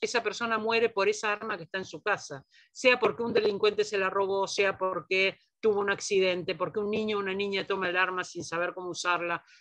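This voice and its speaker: A woman with an ordinary speaking voice talks at a fairly quick pace, with medium pitch and ordinary pitch variation. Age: 60s. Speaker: feminist scholar, lecturer. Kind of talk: lecture Q&A.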